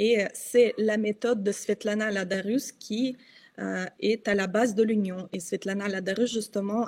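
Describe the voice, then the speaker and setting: A woman talks at a fairly slow pace in a Russian accent. Her medium-pitched voice stays monotone and flat. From Russia, Kostroma. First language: Russian (speaking French). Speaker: journalist and activist. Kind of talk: interview. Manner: halting, many hesitations.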